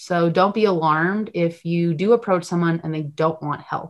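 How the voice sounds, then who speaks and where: Over a quiet background, a woman with a fairly low pitch and ordinary pitch variation talks at a moderate pace in a plain, everyday voice. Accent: American. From US Northeast, Connecticut. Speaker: nonprofit founder and film assistant director. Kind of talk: interview.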